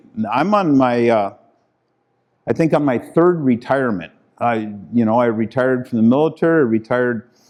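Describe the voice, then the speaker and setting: In a quiet background, a man talks at a medium pitch with ordinary pitch variation and very even loudness. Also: moderate pace. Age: 60s. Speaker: keynote speaker, retired pilot and former mayor. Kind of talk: conference talk. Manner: casual, halting with repetitions.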